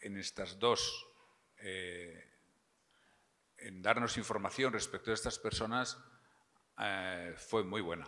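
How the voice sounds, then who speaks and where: A man speaks very slowly in a fairly low register. His tone is bright and sharp, and his intonation stays fairly even. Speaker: prosecutor. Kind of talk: Q&A after keynote.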